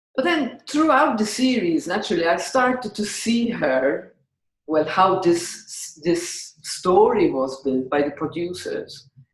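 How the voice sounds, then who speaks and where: At a fairly slow pace, a somewhat breathy woman of medium pitch speaks with very wide pitch swings. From Malta. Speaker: podcast host. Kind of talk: interview answer.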